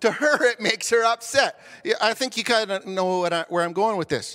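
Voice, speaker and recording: Extremely high in pitch, this man's raised, projected voice has a bright, sharp tone. His intonation is lively. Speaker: pastor. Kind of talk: sermon. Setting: church. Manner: loud.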